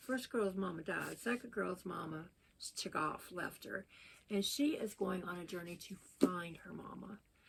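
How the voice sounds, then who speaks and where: With a Southern US accent, the speaker sounds somewhat breathy, talks at a moderate pace with ordinary pitch variation, and shifts widely in loudness. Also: woman, medium pitch for a woman. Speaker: book vlogger. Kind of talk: casual chat.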